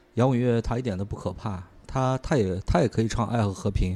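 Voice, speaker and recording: Dark and mellow in tone, a man speaks at a fairly quick pace with fairly even intonation. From China, small county town. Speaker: music fan. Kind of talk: casual chat.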